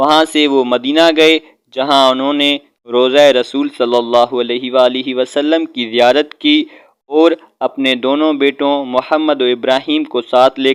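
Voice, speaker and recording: This man has a normal speaking voice, fairly high for a man, with fairly even intonation. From Pakistan. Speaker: voice-over artist. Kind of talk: religious history narration.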